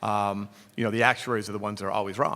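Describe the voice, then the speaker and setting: The speaker is a man talking in a Boston accent. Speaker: actuarial consultant. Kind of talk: conference presentation. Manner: frequent fillers (um, uh).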